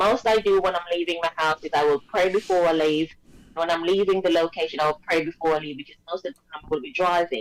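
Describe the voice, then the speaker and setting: With a British accent, a woman speaks at a fairly quick pace and a fairly low pitch. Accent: British-sounding. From Jamaica. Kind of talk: interview answer.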